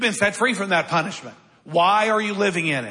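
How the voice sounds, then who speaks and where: The voice is raised and projected. It moves at a moderate pace. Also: man. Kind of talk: sermon. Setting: church. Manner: conversational, plain-spoken and blunt, with wry humor.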